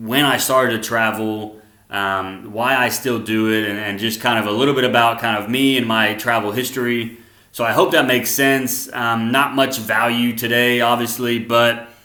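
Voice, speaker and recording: Medium pitch from a male speaker, with noticeable background noise and audible room echo. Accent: American. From US South, Arkansas. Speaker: vlogger. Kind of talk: casual monologue. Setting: living room at home. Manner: fast; animated.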